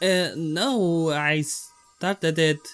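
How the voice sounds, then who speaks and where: A man's high-pitched voice with music in the background. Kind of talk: comedic skit intro.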